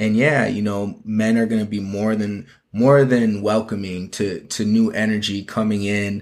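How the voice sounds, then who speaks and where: A man with an American accent speaks at a fairly low pitch with hardly any pauses and monotone, flat intonation. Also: moderate pace. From Minnesota (Minneapolis). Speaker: fashion and marketing consultant. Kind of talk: casual interview.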